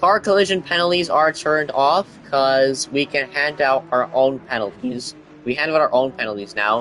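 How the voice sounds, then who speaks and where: Against noticeable background noise, a man talks at a moderate pace in a fairly high voice with ordinary pitch variation. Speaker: sim racing league commentator. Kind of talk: live commentary. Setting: livestream. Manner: animated.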